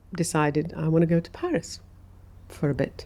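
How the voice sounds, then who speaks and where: The voice has a dark, mellow tone and an English accent, delivered at a moderate pace. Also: woman. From Saudi Arabia, moved to England at 13. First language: Arabic. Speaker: architect. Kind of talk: podcast interview. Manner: reflective, with frequent fillers.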